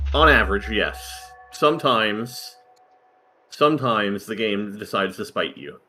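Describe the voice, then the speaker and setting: The speaker talks at a moderate pace. There is music in the background. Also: man. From United States. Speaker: game commentator. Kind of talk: live commentary.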